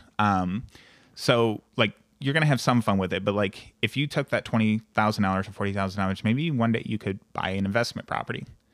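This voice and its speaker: On a very clean recording with a silent background, a man speaks at a fairly low pitch with ordinary pitch variation. The sound is dry and close with no echo, in an unremarkable speaking voice. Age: 20s. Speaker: insurance agent and business owner. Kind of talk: casual interview chat.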